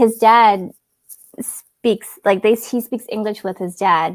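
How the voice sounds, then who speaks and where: A woman with a Canadian accent speaks at a fairly slow pace in a fairly high voice. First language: Cantonese. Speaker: travel vlogger. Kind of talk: casual chat.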